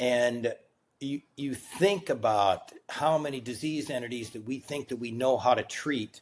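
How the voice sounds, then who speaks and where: This is a normal speaking voice at a fairly slow pace. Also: man. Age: 60s. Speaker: physician and biotech executive. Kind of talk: casual interview.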